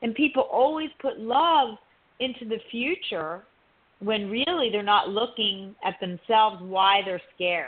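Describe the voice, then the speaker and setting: Speaking at a fairly slow pace, a woman with a plain, everyday voice has fairly high pitch and lively intonation. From US East Coast, Italian-American family. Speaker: relationship coach and author. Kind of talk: radio interview.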